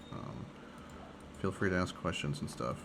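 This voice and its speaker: Audible room echo surrounds the voice of a man speaking. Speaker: gaming streamer. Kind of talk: casual gameplay commentary. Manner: varies, tone and speech pattern can change dramatically; casual with many fillers.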